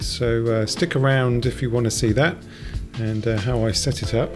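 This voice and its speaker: Someone talks at a fairly quick pace with music playing in the background. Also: man. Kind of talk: narrated travel commentary.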